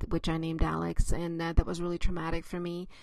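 Someone with a non-native accent speaks against a quiet background. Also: woman. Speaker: author; mother of a child with a skin disease. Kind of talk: casual talk to camera.

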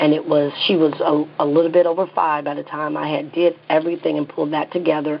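A woman with a very deep, low pitch speaks at a very fast pace in a monotone, flat way over noticeable background noise. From US South. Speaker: psychotherapist and clinic owner. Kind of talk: interview.

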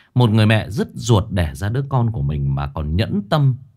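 A man speaks at a fairly slow pace, his voice somewhat breathy. His pitch swings very widely. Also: quiet background. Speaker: horror story narrator, live streamer. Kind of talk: story introduction commentary. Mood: earnest, indignant. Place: home room. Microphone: studio mic.

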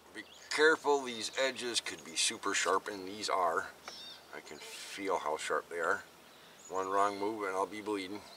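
A plain, everyday voice from a man, fairly low in pitch with ordinary pitch variation, at a moderate pace with big swings in loudness, in a dry sound with no echo and light background noise. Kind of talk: tutorial. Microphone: camera far.

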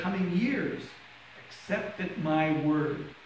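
Strong room echo surrounds a man speaking at a very slow pace. Light background noise sits behind him. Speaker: minister. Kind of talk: scripture reading. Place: church.

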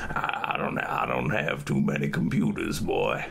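A man uses a put-on character voice at a fairly slow pace. Clear background noise is present. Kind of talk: playing an old person for scam-baiting. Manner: sickly.

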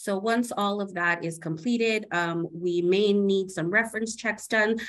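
Against a quiet background, a woman has an unremarkable speaking voice with ordinary pitch variation. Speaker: humanitarian aid partnerships coordinator; panelist. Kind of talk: panel discussion. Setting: video call from Ukraine. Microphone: video call.

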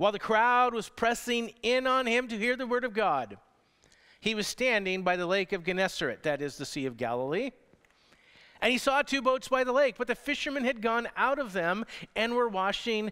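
Against a quiet background, a man raises and projects his voice, bright and sharp in tone, with lively intonation. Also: moderate pace. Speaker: pastor. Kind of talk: sermon. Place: church. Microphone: headset.

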